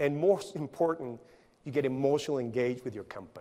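In a Spanish accent, a man speaks with a dark, mellow tone. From Colombia, Barranquilla; Colombia. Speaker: engineering company CEO; conference speaker. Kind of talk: conference talk. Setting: stage with audience. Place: stage.

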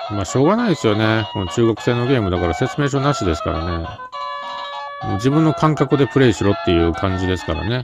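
Clear music plays behind a man talking at a very fast pace, the sound dry with no echo. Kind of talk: casual let's-play commentary. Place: home room. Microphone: phone near.

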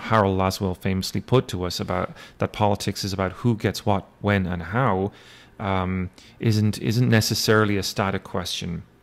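A man talks with an Irish accent at a fairly low pitch. His intonation stays fairly even. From Ireland. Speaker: university lecturer; instructor. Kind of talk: lecture. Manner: hesitant, many fillers. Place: home room. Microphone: webcam.

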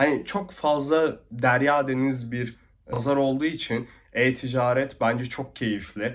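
The speech comes at a very slow pace. The background is quiet. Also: man. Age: 20s. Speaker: e-commerce vlogger. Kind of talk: vlog monologue. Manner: hesitant, many fillers.

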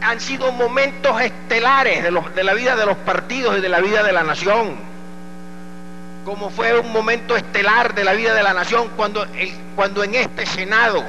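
A man speaks at a moderate pace in a raised, projected voice with a high pitch, over noticeable background noise. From Colombia. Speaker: politician. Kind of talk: senate floor speech. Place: hall. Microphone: podium.

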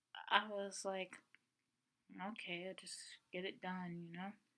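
A woman talks, and the background is quiet. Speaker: vlogger. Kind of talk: casual vlog chat. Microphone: webcam.

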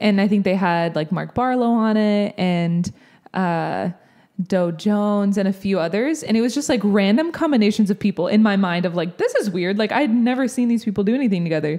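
A woman speaks at a fairly quick pace in a dark, mellow tone with lively intonation. Her loudness stays very even over a quiet background. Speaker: worship leader and podcast co-host; podcast co-host. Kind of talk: casual chat. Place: studio. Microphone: handheld.

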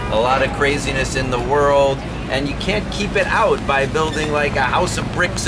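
The speech moves at a fairly slow pace. Loud background noise fills the recording. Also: man. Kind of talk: informal public remarks. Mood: cheerful, laughing. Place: street.

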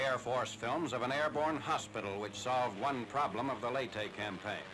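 The speaker is a man with a normal speaking voice and a medium pitch. He talks fairly quickly, and his pitch varies in an ordinary way. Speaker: newsreel narrator. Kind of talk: 1940s newsreel narration, scripted and read over film footage. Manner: brisk, clipped, formal; authoritative and earnest, even-toned.

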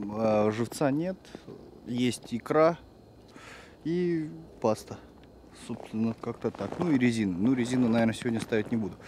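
The speech moves at a fairly slow pace, dry with no echo but with noticeable background noise. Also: man. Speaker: fishing vlogger. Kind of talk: casual vlog chat. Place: open country. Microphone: phone near.

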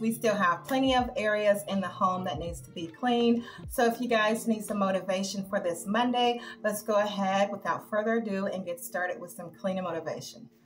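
A woman talks at a fairly quick pace with ordinary pitch variation. Faint music plays in the background. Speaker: cleaning vlogger. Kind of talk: casual vlog chat. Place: kitchen.

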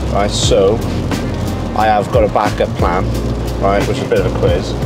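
With music behind him, a man talks at a moderate pace. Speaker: presenter. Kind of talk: casual vlog chat. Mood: upbeat, looking forward. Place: car. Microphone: camera far.

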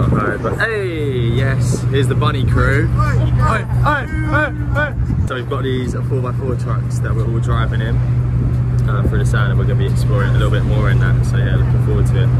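A man's voice comes through dry with no echo amid loud background noise. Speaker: travel vlogger. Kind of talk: casual vlog chat. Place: beach. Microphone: phone near.

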